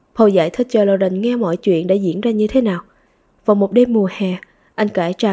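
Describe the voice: The text is read aloud. It is plain reading aloud.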